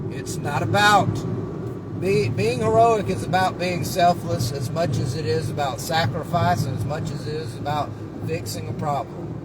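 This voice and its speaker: Amid noticeable background noise and audible room echo, a man talks at a fairly high pitch with lively intonation. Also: moderate pace. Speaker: vlogger. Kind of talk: casual monologue. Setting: in a car. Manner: loud; animated.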